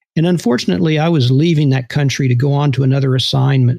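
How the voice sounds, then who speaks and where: This man's voice is calm in tone, fairly high-pitched and somewhat breathy, with ordinary pitch variation. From Texas, Houston. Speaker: former intelligence officer. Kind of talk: interview storytelling. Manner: calm, conversational with hesitations.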